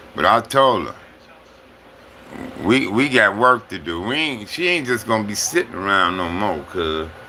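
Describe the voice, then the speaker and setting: There is noticeable background noise as a man speaks at a fairly slow pace. His pitch is fairly low and his intonation lively. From Compton, Los Angeles. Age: 60s. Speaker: livestreamer. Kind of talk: casual livestream chat. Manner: casual, repetitive.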